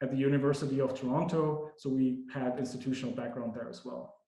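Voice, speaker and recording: A man with a non-native accent talks at a fairly quick pace and fairly high pitch. His intonation stays fairly even, and the room echo is audible. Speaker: academic researcher. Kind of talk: lecture. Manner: many fillers and repetitions.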